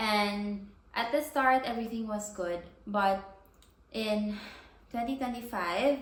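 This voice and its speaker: The speaker goes at a very slow pace with long, frequent pauses and ordinary pitch variation, and the room echo is audible. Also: woman, fairly high pitch for a woman. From Philippines. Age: 20s. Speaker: vlogger and doctor. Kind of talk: casual vlog monologue. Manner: casual with frequent fillers.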